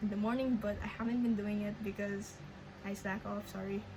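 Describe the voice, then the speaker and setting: A woman with a Filipino accent speaks at a fairly quick pace in a monotone, flat intonation, with audible room echo and noticeable background noise. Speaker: language learner vlogger. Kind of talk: casual vlog update. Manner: halting, many fillers and restarts.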